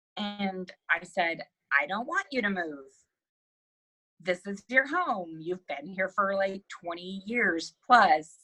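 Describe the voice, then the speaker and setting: Speaking very slowly in a Texan accent, a woman uses a bright, sharp tone at a medium pitch with ordinary pitch variation. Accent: Texan American English. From Central Texas, USA. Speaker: real estate investor, nurse practitioner, military veteran. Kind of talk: podcast interview answer.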